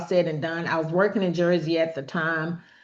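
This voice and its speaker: Against a quiet background, a woman with a plain, everyday voice speaks at a moderate pace and a fairly low pitch. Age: 50s. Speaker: relationship talk show host. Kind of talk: personal monologue on healing. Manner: conversational, informal.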